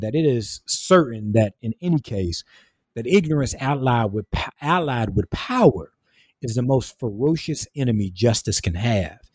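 A man with a Southern US accent speaks at a moderate pace with lively intonation, in a dry, close sound with no echo on a very clean recording with a silent background. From rural South Carolina. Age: 20s. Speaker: minister, writer and theology student. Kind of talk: interview. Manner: halting, many repetitions and fillers.

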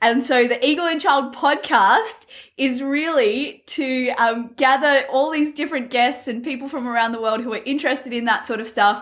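Her high-pitched voice shows ordinary pitch variation as the woman talks at a moderate pace. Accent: Australian. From Australia. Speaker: podcast host. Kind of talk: casual interview.

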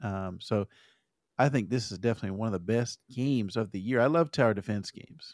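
A man with an American accent talks at a very fast pace in a medium pitch, his pitch varying in an ordinary way while his loudness swings widely, in a dry, close recording with no echo that is very clean against a silent background. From Arizona. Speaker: podcast co-host. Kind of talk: casual chat.

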